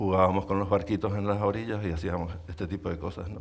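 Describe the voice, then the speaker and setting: Ordinary pitch variation runs through this man's fairly low voice. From Canary Islands, Lanzarote. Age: 60s. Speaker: artist. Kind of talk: public conversation. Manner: halting.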